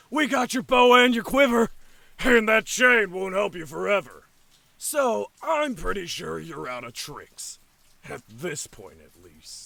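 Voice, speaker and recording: A man's raised, projected, high-pitched put-on character voice at a moderate pace. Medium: audio drama. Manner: sneering, cocky.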